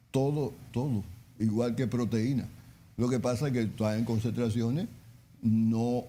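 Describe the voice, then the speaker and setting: The voice has a dark, mellow tone and a fairly slow pace, with long, frequent pauses. Intonation stays fairly even and loudness very even. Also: man, medium pitch for a man. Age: 70s. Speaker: chef and nutrition advisor. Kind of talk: interview on nutrition. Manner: halting, repeats words.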